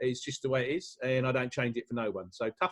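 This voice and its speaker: This is a man speaking with a British accent. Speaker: business speaker. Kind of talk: motivational talk. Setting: video call. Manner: hesitant, many fillers.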